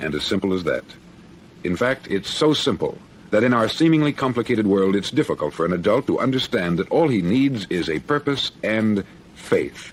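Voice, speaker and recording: With an American accent, a man talks at a moderate pace and medium pitch in a plain, everyday voice, his intonation lively. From United States. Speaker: radio host. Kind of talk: motivational speech.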